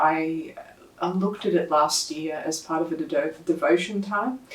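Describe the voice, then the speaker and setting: Ordinary pitch variation marks this moderately paced speech. Background noise can be clearly heard. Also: woman. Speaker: lay preacher. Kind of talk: sermon. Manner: soft-spoken.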